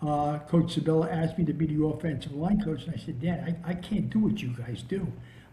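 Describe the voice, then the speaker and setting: Over audible room echo, a man with an American accent and a fairly high pitch talks at a fairly quick pace with hardly any pauses and ordinary pitch variation. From New Jersey. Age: 70s. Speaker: veteran high school football coach. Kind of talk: casual interview chat and coaching talk. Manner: halting, many repeated words and fillers.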